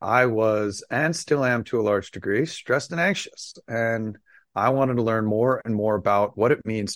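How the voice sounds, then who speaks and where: An ordinary speaking voice from a man with an American accent, fairly low pitch, ordinary pitch variation and a moderate pace, dry and close with no echo on a very clean recording with a silent background. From US, Las Vegas. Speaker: sound therapy entrepreneur. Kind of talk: interview.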